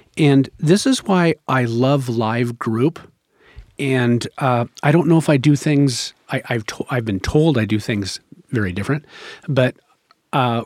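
A man with an unremarkable speaking voice talks at a fairly slow pace in an American accent. His pitch is medium with ordinary variation, and the sound is dry and close with no echo. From Rogue Valley, southern Oregon, US. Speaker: addiction counselor. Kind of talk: podcast interview.

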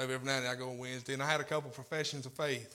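Over audible room echo, a man with an American accent speaks very fast in a flat, monotone delivery at medium pitch. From Tennessee. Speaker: lay preacher. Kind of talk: sermon. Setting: church.

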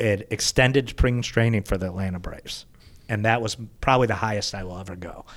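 A man at a very fast pace, with fairly low pitch, fairly even intonation and big swings in loudness. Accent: American. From US Midwest, Chicago northern suburbs. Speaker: sports team communications executive. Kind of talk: casual chat.

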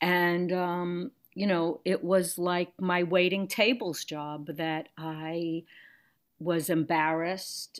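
A woman's fairly low voice at a very slow pace, with fairly even intonation, in a very clean recording with a silent background. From Brooklyn, New York. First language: Yiddish. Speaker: actress, director and singer. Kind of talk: casual interview conversation.

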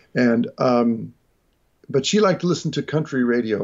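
A man with an unremarkable speaking voice talks at a moderate pace in a medium pitch with ordinary pitch variation. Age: 40s. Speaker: jazz guitarist and educator. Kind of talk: casual interview chat.

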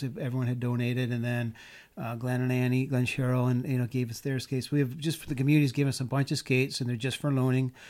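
A man at a medium pitch with an American accent, very fast pace and fairly even intonation. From US Midwest, Chicago. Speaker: hockey player and ice skater. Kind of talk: casual chat. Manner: halting, many fillers.

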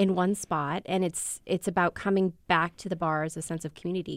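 In a very clean recording with a silent background, a woman with an American accent and a normal speaking voice talks at a fairly quick pace in a fairly low pitch. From US Midwest. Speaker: food writer and interviewer. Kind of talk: interview.

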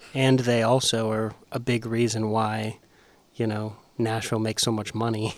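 A man speaks at a medium pitch and a moderate pace. His intonation is monotone and flat, and the recording is very clean with a silent background. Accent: American. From Las Vegas, Nevada. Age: 20s. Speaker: podcast producer. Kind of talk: casual chat.

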